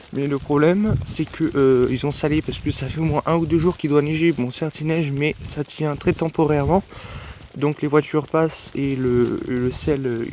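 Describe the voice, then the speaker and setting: Noticeable background noise sits behind a man speaking at a moderate pace. His fairly high voice keeps a fairly even intonation. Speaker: amateur weather vlogger. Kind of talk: casual weather vlog. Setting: outdoors at night in snow. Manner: soft-spoken; hesitant.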